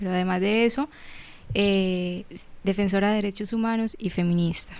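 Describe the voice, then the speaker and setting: The speech has a moderate pace and fairly even intonation. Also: woman, medium pitch for a woman. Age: 30s. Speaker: psychologist and human rights defender. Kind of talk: interview. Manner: halting.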